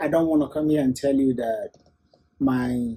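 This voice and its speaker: With lively intonation, a man speaks at a moderate pace in a somewhat breathy voice. His tone is dark and mellow, his pitch fairly high. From eastern Nigeria (Igbo). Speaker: musician and producer. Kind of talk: interview.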